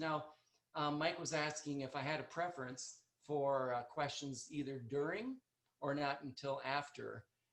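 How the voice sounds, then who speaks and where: A man with an American accent and a fairly high voice talks at a moderate pace with fairly even intonation. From North Dakota, US. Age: 60s. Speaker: chiropractor. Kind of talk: presentation. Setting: video call. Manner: soft-spoken. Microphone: quiet, far from computer mic.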